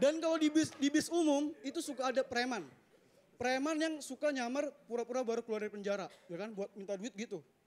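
A man with a Jakarta accent, extremely high in pitch, with an animated tone, lively intonation and a very fast pace. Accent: Jakarta-area Indonesian. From Bekasi, Indonesia; Indonesia. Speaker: stand-up comedian. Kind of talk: stand-up comedy. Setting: stage with audience. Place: stage. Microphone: handheld.

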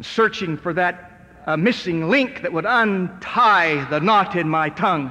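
At a fairly slow pace, a man with an American accent speaks at a high pitch with ordinary pitch variation. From United States. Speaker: motivational speaker, recovered stutterer. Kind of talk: motivational rally speech to a live audience. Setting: live auditorium, audio recording. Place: hall.

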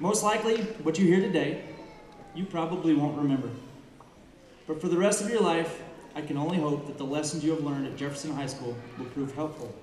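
A man talks at a fairly quick pace with ordinary pitch variation and big swings in loudness. Audible room echo and light background noise come through. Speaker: speaker. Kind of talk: commencement speech. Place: stage. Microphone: podium.

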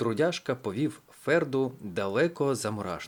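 The delivery is plain reading aloud with lively intonation.

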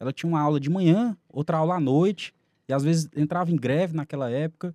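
A man speaks at a fairly high pitch, his tone dark and mellow. The sound is dry and close, with no echo. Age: 30s. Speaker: criminal lawyer. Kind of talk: podcast interview.

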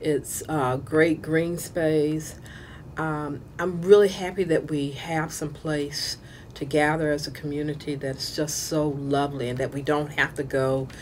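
A woman speaks at a fairly slow pace with a very deep, low pitch. Her intonation stays fairly even over light background noise. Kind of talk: interview answer. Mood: pleased, warm.

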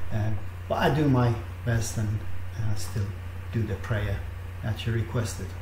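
Over noticeable background noise, a man with a fairly low voice speaks with fairly even intonation. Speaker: online minister leading prayer. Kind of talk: fervent intercessory prayer, addressing God directly. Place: home room. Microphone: webcam.

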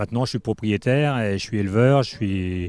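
Speaking at a fairly quick pace, a man with an unremarkable speaking voice and fairly low pitch is heard in a dry sound with no echo. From Manche, Normandy, France; Normandy, France. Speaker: horse owner and breeder, election candidate; candidate. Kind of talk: interview. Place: farm. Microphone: handheld.

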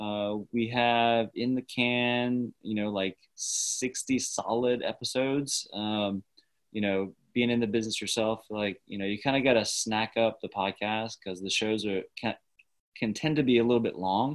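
The speaker has a plain, everyday voice and an American accent. Delivery is at a fairly slow pace with fairly even intonation. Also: man, medium pitch for a man. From US South. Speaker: network engineer. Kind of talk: casual chat.

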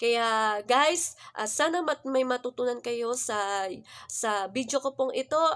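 A woman with a high pitch and ordinary pitch variation talks in a very clean recording against a silent background. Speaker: vlogger. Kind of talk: religious vlog talk. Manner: halting, many fillers.

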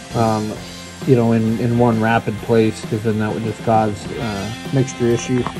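At a fairly slow pace, the speaker talks while clear music sounds behind. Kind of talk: casual shop walkthrough. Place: garage. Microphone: phone near.

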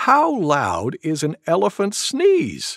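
What you hear is plain reading aloud.

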